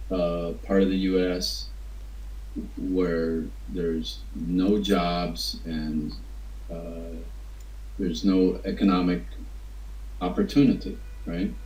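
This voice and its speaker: A man with an Appalachian accent, very deep and low in pitch with very wide pitch swings, at a very slow pace with long, frequent pauses, amid audible room echo and noticeable background noise. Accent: Appalachian American. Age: 60s. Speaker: writer. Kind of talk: interview. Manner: halting.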